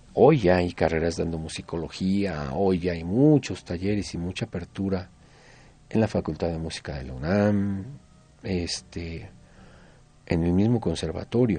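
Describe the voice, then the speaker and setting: This man has a very deep, low pitch and a dark, mellow tone. He talks at a fairly slow pace with a Mexico City accent. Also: ordinary pitch variation. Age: 60s. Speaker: folk musician. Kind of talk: radio interview.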